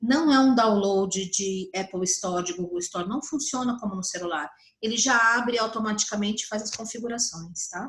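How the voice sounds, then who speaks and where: A woman with an ordinary speaking voice talks at a moderate pace, with hardly any pauses. Her pitch is fairly high, with ordinary pitch variation. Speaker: psychologist teaching colleagues. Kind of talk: online tutorial.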